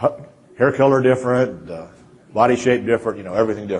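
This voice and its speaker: Very fast in pace, a man with a Kansas accent speaks at a medium pitch. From central Kansas. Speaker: feedyard owner and consultant. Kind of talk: conference presentation. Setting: stage with audience. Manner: halting, many repetitions.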